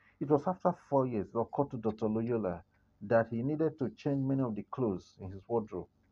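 At a fairly quick pace, a man talks in a normal speaking voice of medium pitch with lively intonation. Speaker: story narrator. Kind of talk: literary story reading, scripted narration in an even storyteller's cadence. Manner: measured, formal, steady.

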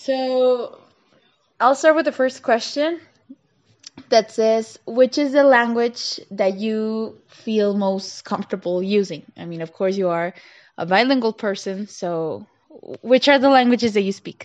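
A woman has a normal speaking voice at a fairly high pitch, with lively intonation. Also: fairly slow pace, big swings in loudness. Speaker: student interviewer. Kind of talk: casual interview.

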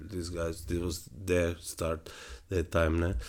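A man with a very deep, low pitch talks at a fairly slow pace in a monotone, flat intonation. The recording is very clean, with a silent background. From Slovenia. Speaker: jazz-fusion guitarist. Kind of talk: interview. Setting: studio. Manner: halting.

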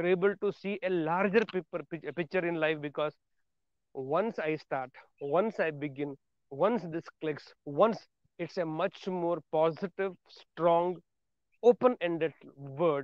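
A man talks at a high pitch and a fairly slow pace, with ordinary pitch variation. He leaves long, frequent pauses. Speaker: motivational podcaster. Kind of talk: motivational monologue.

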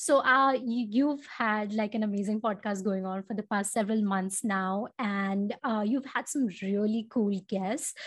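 A woman speaks at a fairly slow pace with hardly any pauses, her voice somewhat breathy and fairly high in pitch. Her intonation stays fairly even against a quiet background. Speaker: podcast host. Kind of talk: casual interview. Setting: remote video call.

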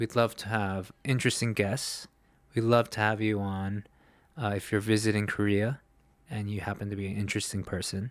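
On a very clean recording with a silent background, a man with an American accent speaks at a moderate pace and fairly low pitch, in a monotone, flat way, with long, frequent pauses. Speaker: podcast host. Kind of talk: casual chat.

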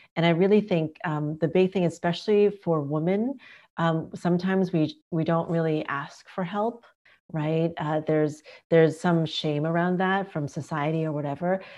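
Against a quiet background, a woman with a dark, mellow tone speaks at fairly low pitch with fairly even intonation. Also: moderate pace. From southern China. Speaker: business and leadership coach. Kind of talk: casual chat.

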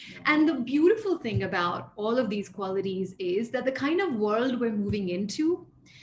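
A woman speaks at a moderate pace with hardly any pauses, against noticeable background noise. Her fairly high pitch swings very widely. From grew up abroad, mostly in the US (New York). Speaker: leadership and mindfulness coach. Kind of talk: interview.

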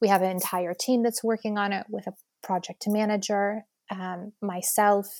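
A woman with a plain, everyday voice speaks at a moderate pace and a medium pitch with ordinary pitch variation. The very clean recording has a silent background and a dry, close sound with no echo. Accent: American. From United States. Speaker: social entrepreneur. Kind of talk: interview.

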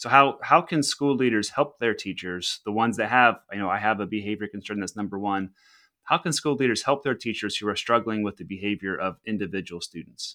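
At a fairly quick pace, a man talks with a bright, sharp tone and a fairly low pitch. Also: ordinary pitch variation, very clean recording, silent background. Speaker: podcast host. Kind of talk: interview.

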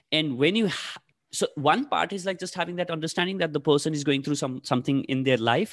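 Speaking at a fairly quick pace with a Nepali accent, a man uses lively intonation and a fairly high pitch, recorded dry and close with no echo. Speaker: podcast host and coach. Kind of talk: interview. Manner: halting, many fillers.

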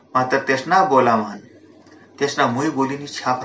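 A man is speaking with audible room echo. Noticeable background noise can be heard. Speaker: professor and literary conference president. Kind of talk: public speech.

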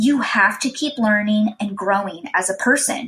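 A woman speaks at a fairly slow pace with ordinary pitch variation. Hers is a normal speaking voice. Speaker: podcast host. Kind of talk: motivational pep talk. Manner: upbeat, encouraging, warm; earnest, steady and positive.

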